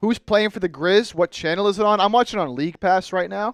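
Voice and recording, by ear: Recorded very cleanly with a silent background and a dry, close sound with no echo, the voice moves at a fairly quick pace with ordinary pitch variation. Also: man, high pitch for a man.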